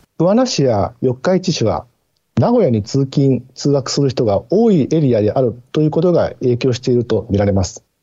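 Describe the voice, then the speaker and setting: A man's somewhat breathy voice at medium pitch, with lively intonation, very even loudness and a moderate pace. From Mie, Japan. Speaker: newspaper bureau chief, journalist. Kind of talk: radio interview. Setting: remote call via Teams.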